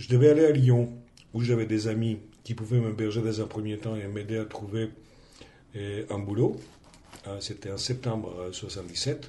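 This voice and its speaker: With a Greek accent, a man talks at a fairly slow pace in a medium pitch with fairly even intonation. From Greece. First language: Greek (speaking French). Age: 50s. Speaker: teacher and trade unionist. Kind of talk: interview testimony.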